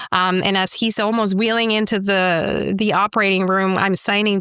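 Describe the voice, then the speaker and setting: This voice has a bright, sharp tone and a Spanish accent and moves at a fairly quick pace. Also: woman. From Mexico, Chihuahua. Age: 40s. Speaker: entrepreneur. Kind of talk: interview. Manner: animated.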